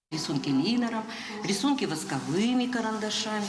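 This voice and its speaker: A woman with a fairly low pitch speaks at a moderate pace amid noticeable background noise and audible room echo. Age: 60s. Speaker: cancer survivor attending art class. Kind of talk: casual chat.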